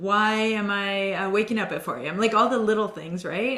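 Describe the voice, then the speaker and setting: A woman with a medium-pitched voice talks over noticeable background noise, with audible echo from the room. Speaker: fitness and well-being coach, interviewer. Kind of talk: interview on video call. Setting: video call.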